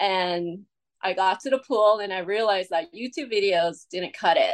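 This woman has a plain, everyday voice. Her pitch sits in the medium range and varies in an ordinary way. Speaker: marathon swimmer. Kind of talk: casual interview.

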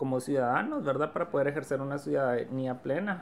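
A woman's voice, very deep and low in pitch. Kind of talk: interview.

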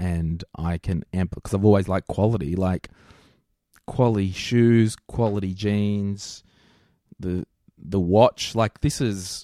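An Australian accent from a man, fairly low in pitch, with a dark, mellow tone, a fairly slow pace and long, frequent pauses, in a dry, close sound with no echo on a very clean recording with a silent background. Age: 30s. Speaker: financial planner. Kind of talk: interview. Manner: casual.

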